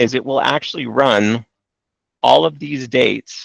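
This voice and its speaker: Dry and close with no echo, a man's medium-pitched voice carries vocal fry and lively intonation. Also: quiet background. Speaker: trading software trainer. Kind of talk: live training webinar.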